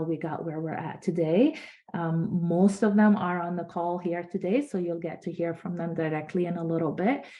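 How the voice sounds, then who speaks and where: A woman speaks in an unremarkable speaking voice. Her pitch is fairly low and her intonation fairly even. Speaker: nonprofit organization leader. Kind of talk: virtual conference presentation.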